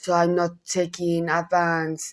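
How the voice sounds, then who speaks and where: Speaking with a Spanish accent, a woman goes at a very slow pace. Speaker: gossip YouTuber. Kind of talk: casual commentary vlog. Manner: halting, self-correcting.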